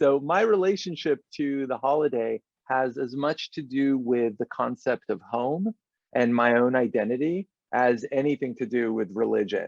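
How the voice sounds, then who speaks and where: At a moderate pace, a man with an American accent uses an ordinary speaking voice, a medium pitch and lively intonation, recorded with a dry, close sound and no echo. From Los Angeles, after childhood in London and Israel. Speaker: film director. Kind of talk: interview.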